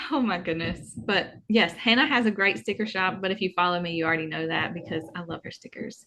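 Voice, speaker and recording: Her voice bright and sharp, a woman with a strong Southern US accent speaks with lively intonation. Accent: thick Southern US. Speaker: planner YouTuber. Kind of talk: casual chat.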